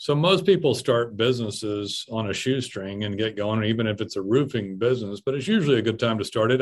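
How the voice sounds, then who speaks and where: With ordinary pitch variation, the man has a plain, everyday voice. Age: 40s. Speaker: podcast host. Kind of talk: casual chat.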